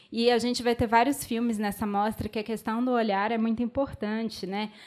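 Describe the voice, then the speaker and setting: Speaking with a Minas Gerais accent, a woman talks at a moderate pace. Her voice is fairly high-pitched. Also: very clean recording, silent background. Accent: Minas Gerais (mineiro) accent, noticeable. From Belo Horizonte, Minas Gerais, Brazil. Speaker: film curator and debate mediator. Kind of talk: panel discussion after film screening. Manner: hesitant, many fillers and restarts.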